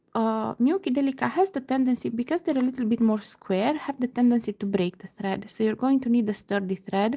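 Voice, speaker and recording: A woman's fairly high, somewhat breathy voice has a dark, mellow tone and ordinary pitch variation, recorded very cleanly against a silent background. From Romania. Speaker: beading crafter. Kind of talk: live tutorial. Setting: livestream at home computer. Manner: slow-paced, step by step; halting, many fillers.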